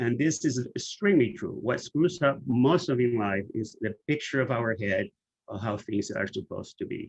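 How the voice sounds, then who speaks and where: A man speaks at a moderate pace with lively intonation. His medium-pitched voice is somewhat breathy. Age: 60s. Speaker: HIV activist and author presenting. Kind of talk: webinar presentation.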